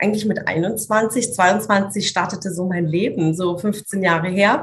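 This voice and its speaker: A woman speaks at a very slow pace, her pitch medium and her intonation fairly even. Her voice is somewhat breathy. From Swabia, southern Germany (Italian roots). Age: 30s. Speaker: business coach. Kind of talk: interview conversation.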